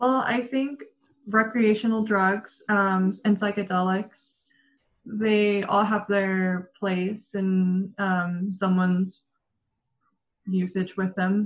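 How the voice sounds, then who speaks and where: A woman speaks very slowly with an American accent, her pitch medium for a woman. Her intonation is monotone and flat, her voice somewhat breathy and her loudness very even. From Denver, Colorado. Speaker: blogger and marketer. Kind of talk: casual interview chat.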